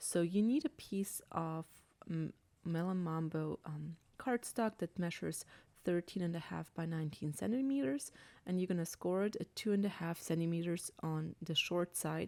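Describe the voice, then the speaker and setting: In a very clean recording with a silent background, a woman with an Austrian accent talks at a moderate pace, her fairly low pitch showing ordinary variation. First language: German. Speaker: crafting demonstrator. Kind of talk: tutorial. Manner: hesitant, many fillers.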